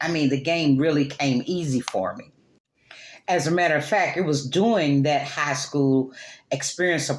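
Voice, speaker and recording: A woman speaks here. Her pitch sits very deep and low. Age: 60s. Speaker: youth motivational speaker. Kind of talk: prepared speech. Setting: club meeting with audience.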